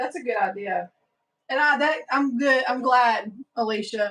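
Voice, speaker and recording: A woman with a Southern US accent at a moderate pace, fairly high in pitch, with ordinary pitch variation. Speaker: sewing livestream host. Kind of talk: casual chat. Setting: livestream with viewer chat.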